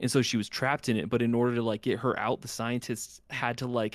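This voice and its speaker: A male speaker on a very clean recording, background silent. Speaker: gaming podcaster. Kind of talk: casual chat. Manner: animated.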